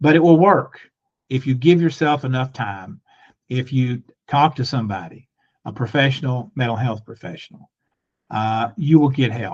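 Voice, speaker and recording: A somewhat breathy man at a moderate pace, with long, frequent pauses. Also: medium pitch for a man, lively intonation. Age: 70s. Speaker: lawyer, mental health advocate. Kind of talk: interview testimony.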